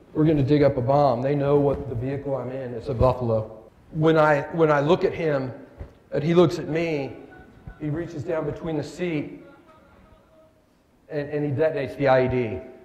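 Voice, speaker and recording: A man with a fairly high pitch speaks at a moderate pace, pausing often and at length. The recording has audible room echo and noticeable background noise. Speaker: war veteran and keynote speaker. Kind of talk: motivational keynote speech. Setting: stage with audience at a breakfast event. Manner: halting, stammering for words; animated.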